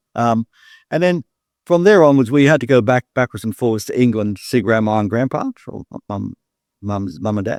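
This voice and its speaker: The speaker has an Australian accent. The recording is very clean with a silent background, and the sound is dry and close with no echo. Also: man. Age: 60s. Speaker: gym business expert. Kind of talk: interview. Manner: halting.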